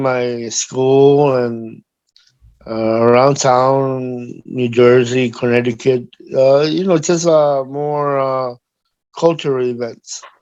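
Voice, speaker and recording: A man with a Paraguayan accent talks very slowly at a medium pitch in a monotone, flat intonation. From Paraguay, then Bronx, New York from age 9. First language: Guarani. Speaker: harpist. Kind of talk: interview. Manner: halting, many fillers.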